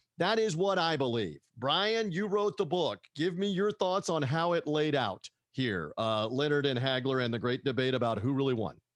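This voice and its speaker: A man with an American accent speaks at a moderate pace in a fairly high, animated voice with very wide pitch swings. He leaves hardly any pauses, his loudness stays very even, and the background is quiet. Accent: half Southern American. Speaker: podcast host. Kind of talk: interview.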